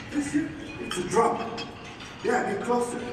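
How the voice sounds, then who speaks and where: Noticeable background noise sits under this recording. A man speaks at a very slow pace. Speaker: motivational speaker / spoken word performer. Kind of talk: spoken word performance to a live audience. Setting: live conference stage with microphone. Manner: rhythmic, poetic, emphatic delivery.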